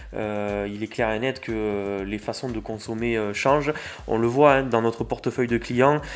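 Here a man speaks in an unremarkable speaking voice at a medium pitch, with fairly even intonation. His pace is fairly slow, and the recording is very clean with a silent background. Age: 20s. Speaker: packaging company manager, engineer. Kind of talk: interview. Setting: recorded on location at a business meeting venue.

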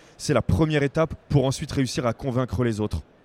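Fairly quick speech from a man, ordinary pitch variation, dry, close sound with no echo. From Picardie, northern France. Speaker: crowdfunding project manager. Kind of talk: interview. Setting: trade fair stand. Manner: hesitant, many fillers.

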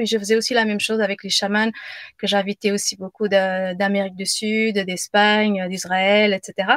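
A woman at medium pitch, monotone and flat in intonation, moderate in pace, with a dry, close sound and no echo. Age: 40s. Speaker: business coach and yoga teacher. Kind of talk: casual chat. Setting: live video stream. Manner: halting.

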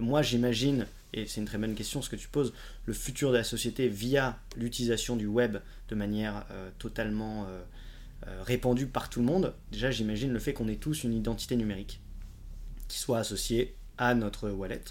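With audible room echo around him, a man talks at a moderate pace and medium pitch with fairly even intonation. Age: 20s. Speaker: blockchain entrepreneur. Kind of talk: casual interview.

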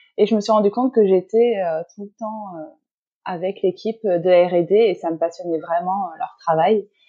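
Her pace is fairly slow and her intonation fairly even. The woman's pitch sits in the medium range. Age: 30s. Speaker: pastry chef and shop owner. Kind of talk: interview. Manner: hesitant with frequent fillers.

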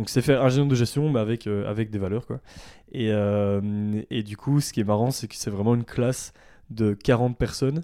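A man with a Belgian accent speaks at a medium pitch with fairly even intonation. The recording is very clean, with a silent background. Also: moderate pace. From Belgium, Ardennes (southern Belgium). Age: 20s. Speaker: ethical fashion brand founder. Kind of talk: casual interview. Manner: hesitant, many fillers.

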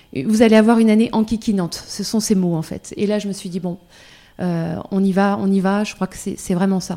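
Her dark, mellow tone sits at a medium pitch as this woman speaks. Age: 40s. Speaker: breast cancer patient. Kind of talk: testimony. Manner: halting.

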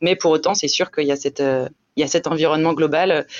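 This woman's voice has a very deep, low pitch and fairly even intonation. She talks at a fairly quick pace. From France, La Rochelle (western France). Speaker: offshore racing team director. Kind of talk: interview. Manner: halting, many repeated words.

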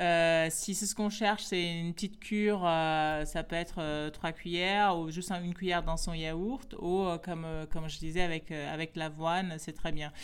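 A woman speaks in a normal speaking voice with a fairly low pitch. Her intonation is fairly even and her pace moderate. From Guinea-Bissau. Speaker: baobab specialist. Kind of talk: interview.

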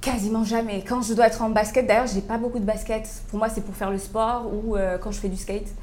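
Over noticeable background noise and audible room echo, a woman speaks fast, with hardly any pauses. Her fairly high voice stays monotone and flat. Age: 30s. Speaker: fashion entrepreneur. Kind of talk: interview. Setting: coffee shop.

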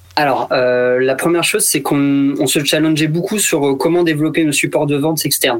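A man talks in an ordinary speaking voice, fairly high in pitch, at a moderate pace. His loudness stays very even and his intonation fairly even. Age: 30s. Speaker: retail store manager. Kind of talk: radio interview.

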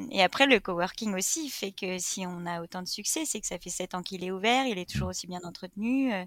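In an unremarkable speaking voice, a woman talks at a medium pitch and a fairly quick pace with ordinary pitch variation, big swings in loudness and hardly any pauses. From France, Reims. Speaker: entrepreneur. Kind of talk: interview, casual chat.

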